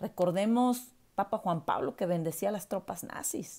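A woman speaks at a medium pitch with lively intonation. Her pace is fairly slow over a quiet background. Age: 40s. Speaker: university professor; commentator reviewing a documentary. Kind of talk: video commentary monologue. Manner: hesitant, many filler words. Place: home room. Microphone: earbuds.

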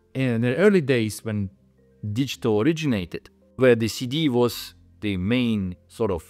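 With faint music in the background, a man talks at a moderate pace and ordinary pitch variation. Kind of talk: interview answer. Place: studio. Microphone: lapel.

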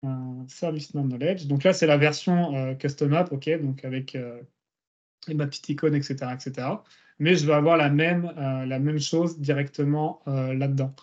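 The background is quiet. A man talks with monotone, flat intonation. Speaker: search engineer presenting a case study; guest. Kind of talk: technical presentation. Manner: fast. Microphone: video call.

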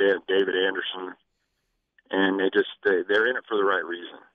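A man at a moderate pace with an American accent. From western Colorado, Grand Junction. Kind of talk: radio interview.

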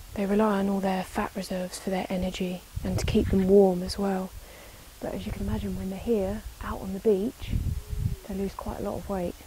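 A woman's medium-pitched, monotone, flat delivery at a fairly quick pace, with noticeable background noise. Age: 20s. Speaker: wildlife camerawoman. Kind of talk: wildlife documentary narration.

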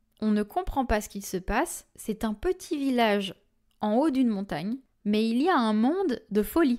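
Very wide pitch swings at a moderate pace, in a very clean recording with a silent background. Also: woman, fairly high pitch for a woman. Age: 20s. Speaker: medium and podcast host. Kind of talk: storytelling monologue.

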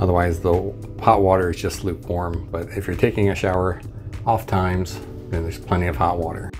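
With clear music in the background, a man speaks in a very deep, low voice with fairly even intonation. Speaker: cruise traveler reviewer. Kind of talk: casual walkthrough tour commentary. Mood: wry, mildly critical. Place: home room. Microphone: phone near.

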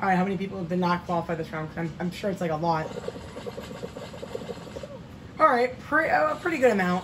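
A woman puts on a raspy character voice of medium pitch, talking at a fairly quick pace but with long, frequent pauses. Noticeable background noise runs underneath.

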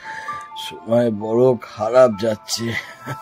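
Intonation here is fairly even. The delivery is an unforced reading voice.

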